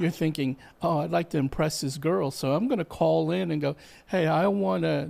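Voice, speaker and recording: Here a man with an unremarkable speaking voice talks at a moderate pace and a fairly high pitch. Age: 60s. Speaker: musician. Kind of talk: casual interview chat.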